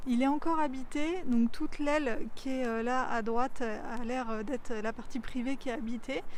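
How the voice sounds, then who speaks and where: A high-pitched woman talks at a moderate pace with hardly any pauses and ordinary pitch variation, amid audible room echo. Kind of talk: travel vlog narration. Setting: outdoors and touring a château. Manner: hesitant, many fillers.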